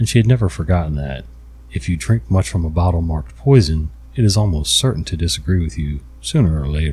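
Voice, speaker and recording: A man speaks at a very fast pace in a very deep, low voice, somewhat breathy, with a dark, mellow tone and very wide pitch swings. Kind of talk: ASMR story reading; bedtime story reading. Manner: soft, quiet, relaxing.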